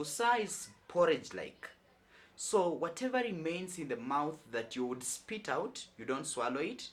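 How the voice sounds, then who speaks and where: Someone with a Kenyan accent speaks at a fairly slow pace. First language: Lubukusu. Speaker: YouTuber teaching on Bible and culture. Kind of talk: informal talk to camera, teaching.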